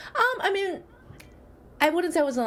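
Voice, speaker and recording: A woman's voice with very wide pitch swings amid noticeable background noise. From born in Shanghai, grew up in Michigan, US. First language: Chinese. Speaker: psychologist. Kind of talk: interview.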